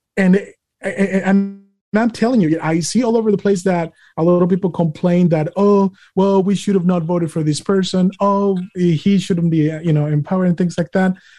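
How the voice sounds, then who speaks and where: With a Spanish accent, a man speaks at a high pitch in a dark, mellow tone, with very even loudness and fairly even intonation. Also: moderate pace. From Mexico. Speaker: podcast host. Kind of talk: interview / casual political chat. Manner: hesitant, many fillers.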